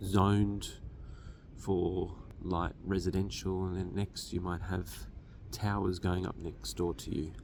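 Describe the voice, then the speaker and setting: A man's very deep, low voice with vocal fry, fairly even intonation and a very slow pace, plus audible room echo. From Australia. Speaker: finance educator. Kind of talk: lecture.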